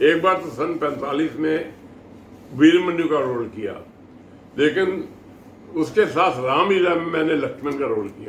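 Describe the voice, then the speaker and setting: Long, frequent pauses and ordinary pitch variation mark this speech, with noticeable background noise behind it. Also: man, fairly high pitch for a man. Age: 80s+. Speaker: theatre actor. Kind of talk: interview answer.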